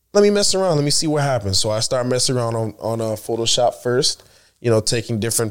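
On a very clean recording with a silent background, a man is talking. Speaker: guest, content creator and former college track athlete. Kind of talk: casual chat.

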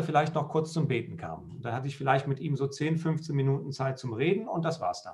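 Vocal fry runs through a man's fairly high voice. His pitch variation is ordinary. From western Germany, Lower Rhine (Krefeld). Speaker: pastor. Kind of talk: casual chat.

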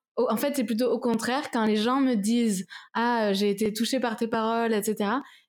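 A woman talks at a fairly slow pace with a fairly high pitch. Her intonation is fairly even. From France, Toulouse. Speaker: singer-songwriter. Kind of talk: interview. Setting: at home, apartment.

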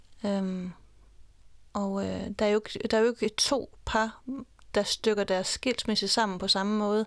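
The delivery is fairly slow and monotone, with long, frequent pauses, on a very clean recording with a silent background. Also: woman, medium pitch for a woman. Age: 40s. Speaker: divorced mother. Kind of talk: interview. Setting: studio.

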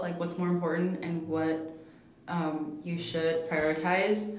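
The recording carries noticeable background noise and audible room echo. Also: woman. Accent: American. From Southern California. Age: young. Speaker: college student. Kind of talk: casual chat. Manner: casual.

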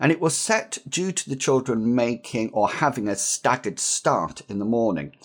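This man talks at a moderate pace with a medium pitch and very wide pitch swings. The recording is very clean, with a silent background. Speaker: teacher trainer podcast host. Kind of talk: tutorial.

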